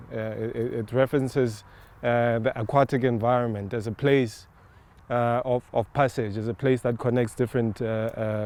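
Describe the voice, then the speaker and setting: A man speaks with a Botswana accent at a medium pitch. His pace is moderate and his intonation monotone and flat. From South Africa. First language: Setswana. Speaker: artist, sculptor. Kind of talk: on-site interview, explaining an artwork. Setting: outdoors in a park. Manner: hesitant, many filler words and repetitions.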